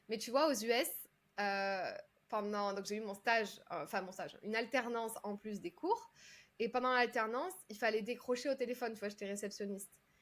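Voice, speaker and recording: On a very clean recording with a silent background, a woman talks in a fairly high pitch with ordinary pitch variation. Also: moderate pace. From southern France, Carcassonne. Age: 30s. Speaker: public speaking coach. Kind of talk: podcast interview. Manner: hesitant, many fillers.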